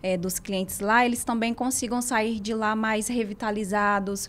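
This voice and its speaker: At a moderate pace, a woman with a Ceará accent speaks in a fairly high voice with ordinary pitch variation, captured on a very clean recording with a silent background. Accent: Northeastern Brazilian (Ceará). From Ceará interior and São Paulo, Brazil. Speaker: physiotherapist and spa owner. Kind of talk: interview.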